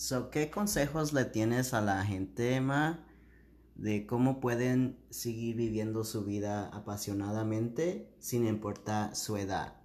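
At a very slow pace, a man with a medium pitch talks with ordinary pitch variation. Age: 30s. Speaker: podcast co-host. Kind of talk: casual chat; scripted intro.

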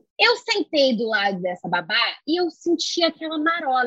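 A woman talks at a moderate pace with very wide pitch swings. The sound is dry and close, with no echo. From Rio de Janeiro, Brazil. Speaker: poet and singer. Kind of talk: casual chat.

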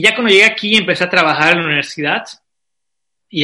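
A man speaks in a bright, sharp tone. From Bolivia, Santa Cruz. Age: 20s. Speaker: travel blogger. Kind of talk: interview. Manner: halting, repeats words.

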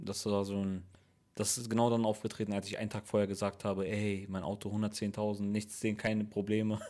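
Over a silent background in a very clean recording, a man talks at a fairly quick pace in a fairly low, dark, mellow voice with monotone, flat intonation. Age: 30s. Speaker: podcast host and comedian. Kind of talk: casual chat.

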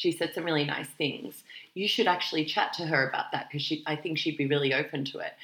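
Speaking at a very fast pace, a woman with an Australian accent uses a fairly low pitch. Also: ordinary pitch variation. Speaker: careers podcast co-host. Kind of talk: casual chat.

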